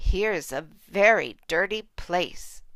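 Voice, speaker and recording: A woman puts on a raspy character voice at medium pitch. She talks at a very slow pace. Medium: read story.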